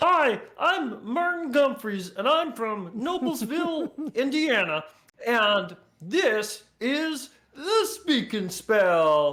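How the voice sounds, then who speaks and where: Very slow delivery in a put-on character voice with a fairly high pitch and very wide pitch swings. The recording is very clean, with a silent background. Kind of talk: cool, salesy.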